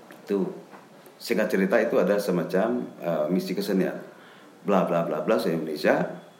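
Over noticeable background noise and audible room echo, a man speaks at a moderate pace. His pitch is very deep and low, with ordinary variation. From West Java, Cianjur. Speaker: lecturer and traditional singer. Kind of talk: interview.

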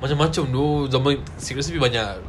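A man speaks at medium pitch in an animated tone. His pace is very fast. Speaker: podcast guest. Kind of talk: casual chat. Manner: animated, laughing often.

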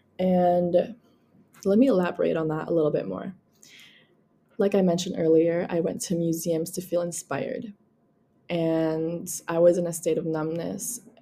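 With a dark, mellow tone and a fairly low pitch, a woman talks at a moderate pace, leaving long, frequent pauses. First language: Tagalog. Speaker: podcast host. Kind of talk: casual solo monologue.

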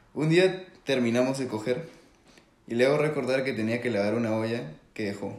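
With audible room echo around him, a man speaks at a moderate pace, medium in pitch, with ordinary pitch variation. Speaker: podcast co-host. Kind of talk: casual storytelling.

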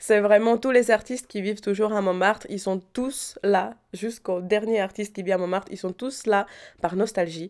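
A woman speaks in a Czech accent at a moderate pace. Her pitch is medium and her intonation fairly even. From Czech Republic, Prague. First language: Czech (speaking French). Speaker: painter. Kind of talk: interview. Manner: hesitant.

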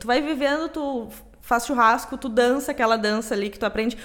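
This woman's high-pitched voice moves at a moderate pace. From Rio Grande do Sul, Brazil. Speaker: podcast co-host. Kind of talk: casual chat.

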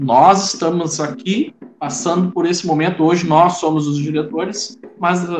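A high-pitched man at a moderate pace. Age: 40s. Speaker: Afro-Brazilian religious leader. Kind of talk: interview.

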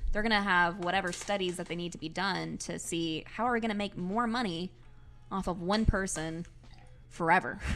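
A woman with a normal speaking voice talks at a medium pitch and a fairly quick pace. Her intonation stays fairly even. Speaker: brewery sales rep. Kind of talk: casual chat. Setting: studio.

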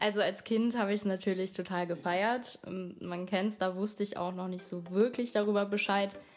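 At a moderate pace and medium pitch, the woman speaks in a monotone, flat way. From Germany, Wiesbaden (Hesse). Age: 20s. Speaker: model. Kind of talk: casual interview. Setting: studio, shared microphone.

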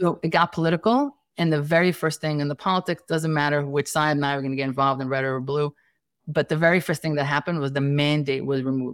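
A woman's very deep, low voice at a very fast pace, with fairly even intonation and a dry, close sound with no echo on a very clean recording with a silent background. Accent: American. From Staten Island, New York City. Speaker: family nurse practitioner and entrepreneur. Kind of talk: casual interview conversation.

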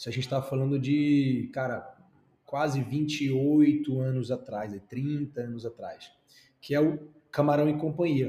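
A man's somewhat breathy voice, fairly high in pitch, with a dark, mellow tone and a fairly slow pace. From Brazil, Recife (Pernambuco). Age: 30s. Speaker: franchise entrepreneur and YouTuber. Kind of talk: interview. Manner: animated.

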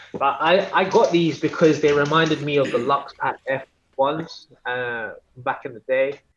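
A man with a British accent speaks at a fairly slow pace. His voice is fairly high, with ordinary pitch variation. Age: 30s. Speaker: sneaker cleaner and collector. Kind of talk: casual chat.

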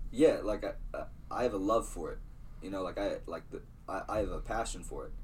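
With audible room echo, a man with an American accent speaks at a fairly quick pace. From Iowa, US Midwest. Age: 20s. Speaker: clothing brand founder. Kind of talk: casual interview. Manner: halting.

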